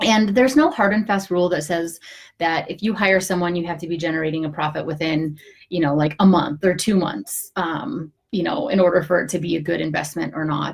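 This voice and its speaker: With ordinary pitch variation, a somewhat breathy voice talks at a fairly quick pace. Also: woman. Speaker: online business advisor (CPA). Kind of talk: live video tutorial. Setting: home office, live stream. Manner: fast; casual, many filler words.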